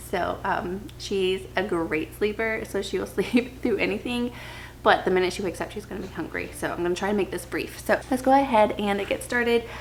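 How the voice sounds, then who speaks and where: Soft-spoken delivery at a fairly quick pace, ordinary pitch variation, noticeable background noise behind it. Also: woman, medium pitch for a woman. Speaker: book vlogger, stay-at-home mom. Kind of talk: casual chat. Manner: hesitant fillers.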